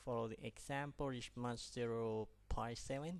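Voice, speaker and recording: A man with a non-native accent speaks at a fairly slow pace. His pitch is medium, with ordinary variation. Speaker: pilot instructor. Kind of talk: tutorial.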